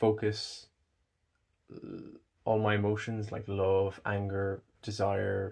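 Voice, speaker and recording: In a somewhat breathy voice, a man speaks at a very slow pace and a fairly low pitch with monotone, flat intonation. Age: 20s. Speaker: cancer survivor vlogger. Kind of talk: personal vlog monologue. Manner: halting.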